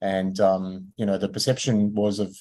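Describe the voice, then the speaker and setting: With an Australian accent, a man speaks at a moderate pace in a fairly low pitch, his tone dark and mellow. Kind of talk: online lecture. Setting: video call. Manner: hesitant, many fillers.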